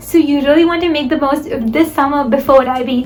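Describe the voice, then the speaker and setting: Amid noticeable background noise and audible room echo, the speaker goes at a fairly quick pace with fairly even intonation. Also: woman. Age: young. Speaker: student vlogger. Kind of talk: advice vlog.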